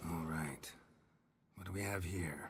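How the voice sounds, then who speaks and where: A raspy, very deep, low-pitched put-on character voice from a man. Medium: video game. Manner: terse, dry, understated.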